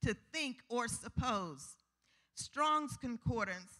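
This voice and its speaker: Against a quiet background, a woman with a high pitch and a bright, sharp tone speaks at a very slow pace. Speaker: preacher. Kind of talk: sermon. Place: church. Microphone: handheld.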